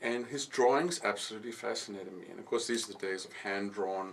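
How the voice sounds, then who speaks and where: Audible room echo surrounds a man speaking at a very fast pace. His pitch is fairly low, and he has a South African accent. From South Africa (KwaZulu-Natal, Pietermaritzburg). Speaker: architect and designer. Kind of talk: radio interview. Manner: hesitant, with fillers and repetitions.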